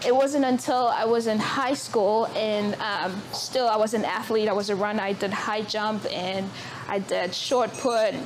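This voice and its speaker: A woman's fairly high voice at a fairly slow pace and with fairly even intonation, amid noticeable background noise and audible room echo. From South Africa. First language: Zulu. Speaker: author. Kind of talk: public talk at book event. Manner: hesitant, many fillers.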